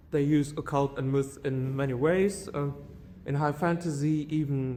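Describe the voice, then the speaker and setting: A man with a German accent and a fairly high pitch talks at a fairly slow pace with fairly even intonation, his voice carrying audible room echo. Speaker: conference speaker. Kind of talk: academic conference talk. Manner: halting, many fillers.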